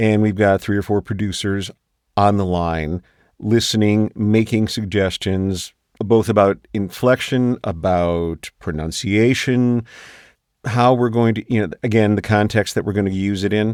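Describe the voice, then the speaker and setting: Recorded dry and close with no echo, a man talks at a fairly slow pace, fairly low in pitch and fairly even in intonation. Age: 60s. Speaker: voice actor. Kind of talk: interview. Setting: video call.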